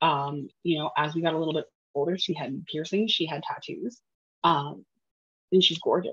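At a moderate pace, a woman speaks in a very deep, low voice with ordinary pitch variation. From small town. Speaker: podcast co-host. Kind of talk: casual chat.

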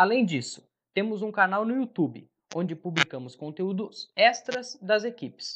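Pitched high, a man talks at a moderate pace with lively intonation. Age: 20s. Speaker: sports podcast host, journalist. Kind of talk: casual football discussion podcast.

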